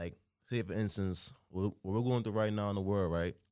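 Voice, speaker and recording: In a very clean recording with a silent background, a man speaks very fast in a fairly low pitch with monotone, flat intonation. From Trinidad and Tobago. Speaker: fashion designer and brand founder. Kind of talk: casual interview chat.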